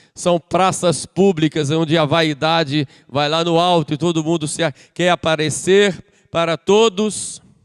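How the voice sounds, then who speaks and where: A man talks in an unremarkable speaking voice. His pitch is fairly high. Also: dry, close sound with no echo. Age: 60s. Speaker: priest. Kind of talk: sermon.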